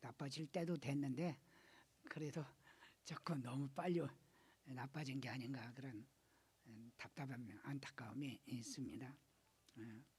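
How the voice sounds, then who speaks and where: Pausing long and often, a man talks at a fairly slow pace in a somewhat breathy, fairly high voice with ordinary pitch variation. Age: 80s+. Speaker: pastor. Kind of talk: sermon. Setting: church.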